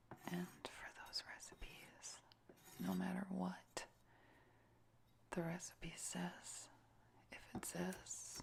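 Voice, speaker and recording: The speaker whispers very slowly, with long, frequent pauses. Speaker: ASMR cooking video creator. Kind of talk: ASMR cooking demonstration, talking while cooking. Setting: home kitchen with cooking sounds. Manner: whispered and soft-spoken, slow and deliberate.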